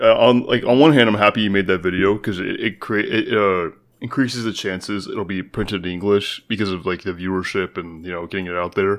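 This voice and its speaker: A man with a normal speaking voice, fairly low pitch, fairly quick pace and ordinary pitch variation, on a very clean recording with a silent background. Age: 20s. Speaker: podcast co-host, college student. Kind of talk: casual chat.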